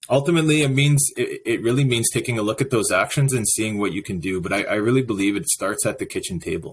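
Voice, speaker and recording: In a Canadian accent, this somewhat breathy speaker races along at a very fast pace with lively intonation and hardly any pauses. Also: man, medium pitch for a man. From northern Saskatchewan. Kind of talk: podcast interview. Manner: halting.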